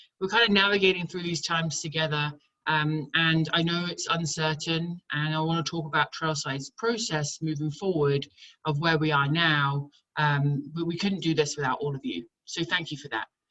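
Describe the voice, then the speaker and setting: A woman speaks with a British accent and a very deep, low pitch. Her tone is bright and sharp. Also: ordinary pitch variation, moderate pace. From England. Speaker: camp director. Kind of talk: online town hall presentation.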